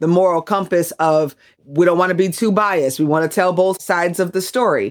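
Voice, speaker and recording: In a plain, everyday voice, a woman speaks at a moderate pace and medium pitch. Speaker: radio broadcaster and podcast producer. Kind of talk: casual interview chat.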